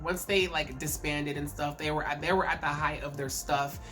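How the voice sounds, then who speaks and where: A woman's voice with audible room echo and music in the background. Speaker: K-pop commentary YouTuber. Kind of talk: casual vlog commentary. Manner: halting, repeats words.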